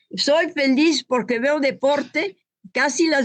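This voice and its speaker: A woman speaks at a very slow pace. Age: 80s+. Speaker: retired volleyball champion. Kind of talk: interview. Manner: halting.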